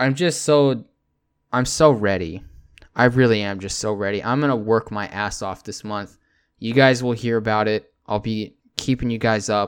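A man with an American accent at a medium pitch and moderate pace, in a very clean recording with a silent background. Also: ordinary pitch variation. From Texas. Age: 20s. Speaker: podcast host. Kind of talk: casual solo monologue.

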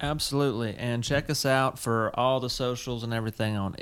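A man speaks in an American accent with a medium pitch. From US South, South Carolina. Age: 30s. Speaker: podcast co-host, teacher. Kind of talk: casual chat.

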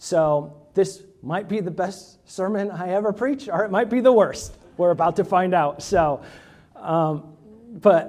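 This man has an American accent and a high pitch. He talks at a fairly slow pace with ordinary pitch variation. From Indiana, US Midwest. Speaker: pastor candidate. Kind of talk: sermon.

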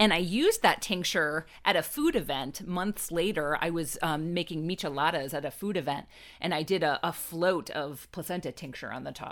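A woman speaks in an ordinary speaking voice, fairly low-pitched, at a moderate pace with hardly any pauses. Her pitch varies in an ordinary way, and the recording is very clean with a silent background. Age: 40s. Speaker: professional advice guest. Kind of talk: casual chat.

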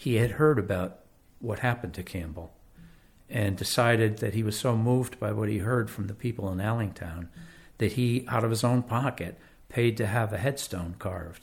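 In a very clean recording with a silent background, a man with a fairly low, somewhat breathy voice speaks at a moderate pace with ordinary pitch variation. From Connecticut, West Haven. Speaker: local historian and author. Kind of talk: interview.

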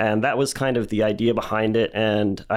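An American accent in a normal speaking voice at a fairly quick pace, over a quiet background. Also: man. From Texas, Dallas. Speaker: recycling business founder. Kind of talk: casual interview.

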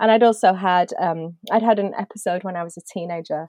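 With a British accent, a woman talks at a fairly quick pace, her medium pitch held to a fairly even intonation. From UK. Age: 40s. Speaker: cartoonist. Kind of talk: casual interview.

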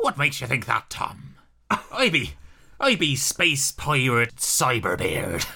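Raspy put-on character voice at a low-to-middle pitch, delivered at a very slow pace. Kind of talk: comic, bad accent.

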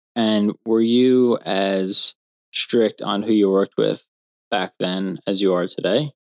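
Dry and close with no echo, a man's fairly low voice moves at a very slow pace. His intonation stays fairly even. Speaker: podcast guest interviewer, host's husband. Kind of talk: casual interview. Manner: mild-mannered.

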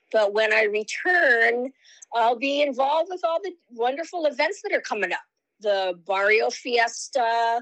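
A woman with a high voice talks fairly slowly, her intonation lively. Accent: Hawaiian. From Hawaii, Lahaina, Maui. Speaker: political candidate. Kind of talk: interview.

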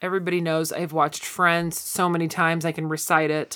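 The tone is bright, sharp and animated. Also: woman. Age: 40s. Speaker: podcast co-host. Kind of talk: casual chat.

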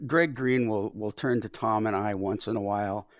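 Recorded very cleanly against a silent background, a man with a normal speaking voice talks at a moderate pace and medium pitch. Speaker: baseball podcast co-host. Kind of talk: casual chat. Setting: studio. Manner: jokey.

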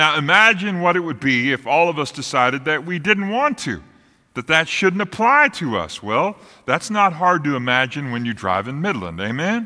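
A man with an American accent speaks at a moderate pace and a fairly high pitch, his pitch swinging very widely. His tone is bright, sharp and warm, on a very clean recording with a silent background. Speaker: pastor. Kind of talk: sermon. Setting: church. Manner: warm, direct address to congregation.

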